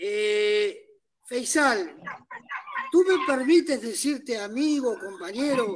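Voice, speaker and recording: Pausing long and often, a man speaks at a very slow pace in an extremely high voice with very wide pitch swings. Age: 60s. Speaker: audience participant, lawyer. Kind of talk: Q&A comment.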